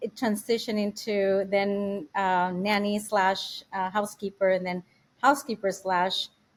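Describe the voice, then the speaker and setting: On a very clean recording against a silent background, a woman talks with fairly even intonation. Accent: non-native. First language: not English. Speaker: house manager and family assistant. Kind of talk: podcast interview. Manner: halting, many fillers.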